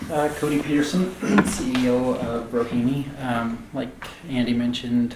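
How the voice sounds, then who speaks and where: A man in an American accent, with fairly even intonation and a moderate pace, plus audible room echo and noticeable background noise. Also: medium pitch for a man. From rural north central Montana. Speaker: tech company CEO and founder. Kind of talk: fireside chat interview.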